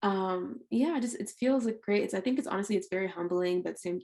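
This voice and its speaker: The speaker uses a plain, everyday voice with ordinary pitch variation. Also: woman. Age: 20s. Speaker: R&B singer-songwriter. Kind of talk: podcast interview. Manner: casual, filler-heavy.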